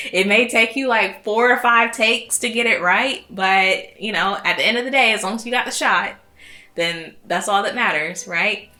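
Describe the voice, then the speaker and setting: Ordinary pitch variation over noticeable background noise. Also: woman. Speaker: content creator. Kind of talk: casual vlog talk. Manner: halting.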